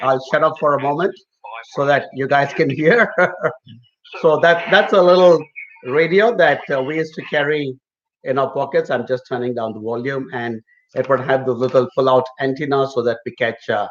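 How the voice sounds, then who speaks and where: At a moderate pace, a man talks in an unremarkable speaking voice that is fairly high in pitch and shows ordinary pitch variation. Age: middle-aged. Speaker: migration consultant. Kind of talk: live Q&A chat. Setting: live stream.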